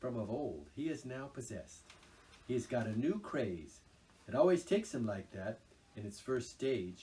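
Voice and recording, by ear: A natural voice reading aloud.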